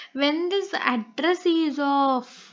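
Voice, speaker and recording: This woman, with a Telugu accent, speaks at an extremely high pitch. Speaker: online tutor. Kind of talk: lecture. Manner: halting, many fillers.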